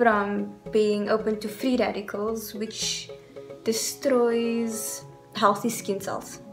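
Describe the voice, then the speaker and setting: Clear music plays behind a woman whose pitch varies in an ordinary way. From South Africa. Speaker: beauty vlogger. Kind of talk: casual talk to camera. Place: home room. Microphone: phone near.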